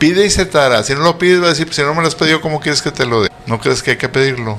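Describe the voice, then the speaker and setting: Over noticeable background noise, a man talks at a very fast pace. His fairly high voice has lively intonation. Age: 70s. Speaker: metaphysician and astrologer. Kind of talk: casual interview.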